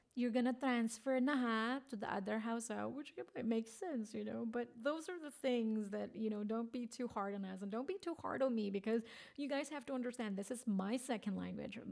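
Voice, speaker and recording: Speaking with a Filipino accent, a woman talks at a fairly quick pace with hardly any pauses, her fairly high pitch showing ordinary variation in an animated tone. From Philippines. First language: Filipino (Tagalog). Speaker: vlogger. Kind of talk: casual chat.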